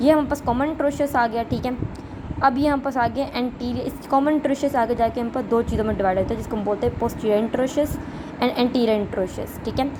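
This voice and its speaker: A woman's high-pitched voice with fairly even intonation over noticeable background noise. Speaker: medical student. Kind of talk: anatomy lecture.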